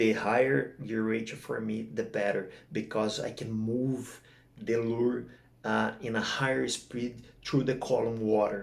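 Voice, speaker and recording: A man with a non-native accent talks at a fairly slow pace. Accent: non-native English speaker. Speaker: kingfish jigging angler. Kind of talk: fishing gear tutorial to camera. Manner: casual, hesitant.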